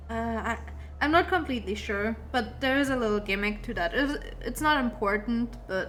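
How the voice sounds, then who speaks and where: A woman with a non-native accent at a moderate pace, with long, frequent pauses and audible room echo. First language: not English. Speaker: gamer streamer. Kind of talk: let's play commentary. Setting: live stream. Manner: halting.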